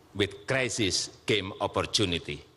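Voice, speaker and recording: Speaking at a very slow pace, a man has a bright, sharp tone. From Indonesia. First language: Indonesian. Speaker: head of state. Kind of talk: formal speech at international forum.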